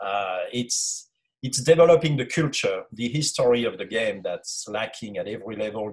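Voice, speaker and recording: This speaker has a French accent and talks at a moderate pace. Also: man. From France. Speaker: youth soccer academy director and former sports writer. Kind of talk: casual interview. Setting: video call.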